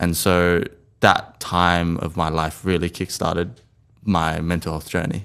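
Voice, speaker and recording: An Australian-accented man's very deep, low voice, monotone and flat at a fairly slow pace, on a very clean recording with a silent background. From Australia, Sydney inner west. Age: 20s. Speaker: mental health storyteller. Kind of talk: interview.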